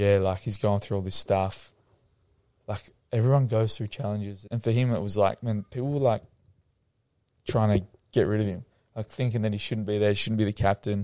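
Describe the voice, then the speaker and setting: A man's dark, mellow, fairly low voice in an Australian accent, fairly quick yet with long, frequent pauses, fairly even intonation, and a dry, close sound with no echo. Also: very clean recording, silent background. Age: young. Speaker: former footballer turned mental health coach. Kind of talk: casual interview chat.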